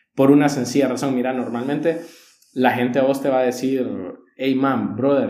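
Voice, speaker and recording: Heard with audible room echo, a man speaks at a medium pitch in a dark, mellow tone. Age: 20s. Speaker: church leadership teacher. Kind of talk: casual chat on faith.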